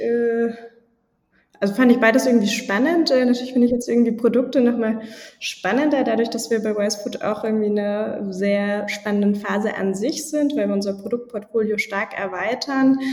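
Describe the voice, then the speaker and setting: The woman's voice sits fairly high in pitch. Her intonation stays fairly even. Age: 20s. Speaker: startup co-founder and sales lead. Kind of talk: interview. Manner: hesitant with many fillers.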